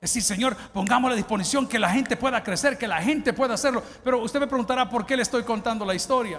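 A man with a Salvadoran accent, extremely high in pitch, in an animated tone at a very fast pace with hardly any pauses, very even loudness and ordinary pitch variation. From El Salvador. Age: 50s. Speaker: pastor. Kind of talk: sermon. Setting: church. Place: church. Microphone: handheld.

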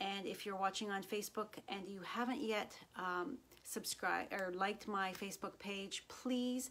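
A woman speaks at a fairly slow pace. Light background noise is audible. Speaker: craft demonstrator. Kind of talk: casual live stream chat. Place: home room.

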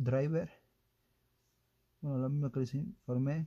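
A man talks in a dark, mellow tone that is somewhat breathy. The background is quiet. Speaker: product reviewer. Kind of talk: unboxing commentary. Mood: hesitant, unsure of wording. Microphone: phone near.

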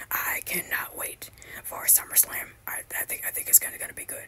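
Over noticeable background noise, the whispering comes at a fairly quick pace. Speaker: wrestling commentary YouTuber. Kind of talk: excited profanity-laced rant gloating over a wrestler's coming meltdown. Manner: heavily stammering, repeats words constantly with many ums; gleeful, swearing enthusiasm.

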